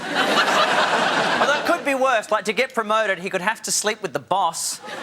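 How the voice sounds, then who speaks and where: There is noticeable background noise behind this man. His pitch is high and his intonation lively. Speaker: talk show host. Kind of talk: stand-up style TV monologue. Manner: jokey, conversational.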